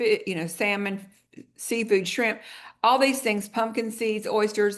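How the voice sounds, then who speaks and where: Fairly high in pitch, a woman speaks at a fairly slow pace with ordinary pitch variation. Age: 60s. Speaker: wellness product presenter. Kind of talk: sales pitch. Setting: video call. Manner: conversational.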